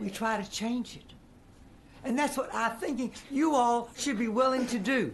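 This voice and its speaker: A woman speaks in an American accent. Her pitch is high, with ordinary pitch variation. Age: 80s+. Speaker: political activist. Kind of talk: legislative hearing testimony. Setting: committee hearing room. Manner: unscripted, speaking from the heart.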